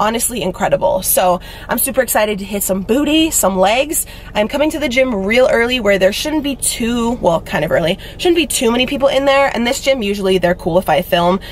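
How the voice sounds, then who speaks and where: There is light background noise as a woman speaks at a fairly quick pace. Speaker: fitness vlogger. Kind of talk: casual vlog chat. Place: car. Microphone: phone near.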